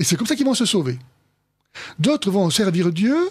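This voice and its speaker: The man's pitch swings very widely as he talks at a moderate speed. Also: quiet background. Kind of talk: theological discussion. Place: studio.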